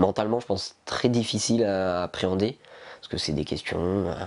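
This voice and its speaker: A man with a very deep, low pitch talks with ordinary pitch variation. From eastern France, near Besançon. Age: 20s. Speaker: lung transplant patient. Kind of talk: testimony. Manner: halting, many hesitations.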